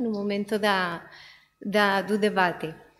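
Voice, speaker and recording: With a non-native accent, a woman speaks at a very slow pace amid audible room echo. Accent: foreign accent in Portuguese. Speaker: oceanographer. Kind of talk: conference talk.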